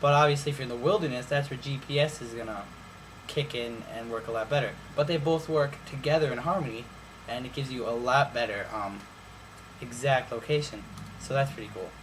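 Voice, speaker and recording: Amid noticeable background noise and audible room echo, a man of medium pitch speaks at a fairly quick pace with big swings in loudness and ordinary pitch variation. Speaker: YouTuber reviewing phones. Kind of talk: casual vlog review.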